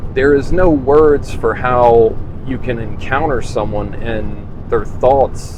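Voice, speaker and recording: In a room with audible echo, a man speaks very slowly with ordinary pitch variation. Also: medium pitch for a man. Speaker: HVAC channel host talking spirituality. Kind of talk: personal monologue. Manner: halting, frequent pauses.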